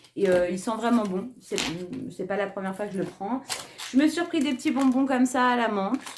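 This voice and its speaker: Noticeable background noise surrounds a woman with a fairly high voice and lively intonation. She moves at a fairly quick pace, yet with long, frequent pauses. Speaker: beauty and lifestyle youtuber. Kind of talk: casual haul video talk. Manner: hesitant, many fillers.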